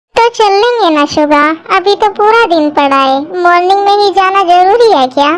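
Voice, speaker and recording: A woman speaks in a put-on character voice with extremely high pitch. Her intonation is lively and her loudness stays very even. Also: moderate pace. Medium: audio drama. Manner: affectionate, playful.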